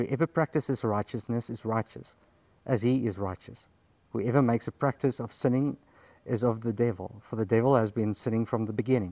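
Dark and mellow in tone, the voice keeps a moderate pace with ordinary pitch variation. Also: man.

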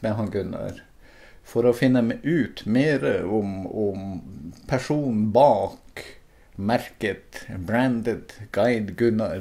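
A man at a very slow pace, his medium-pitched voice dark and mellow, with lively intonation. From Northern Norway, Finnmark. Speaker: video maker. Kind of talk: scripted narration. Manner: halting.

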